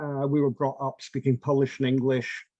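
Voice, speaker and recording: A man with a Scottish accent, a medium pitch, and a dark, mellow tone. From Scotland, St Andrews in Fife. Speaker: artist. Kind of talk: interview, personal memories.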